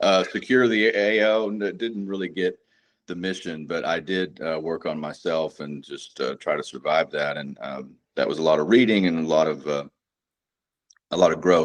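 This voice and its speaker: In a Texan accent, a man speaks with a very deep, low pitch. His pace is moderate and his pitch variation ordinary. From North Texas. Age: 40s. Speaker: combat veteran and precious metals dealer. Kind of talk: casual interview chat. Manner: halting, many fillers.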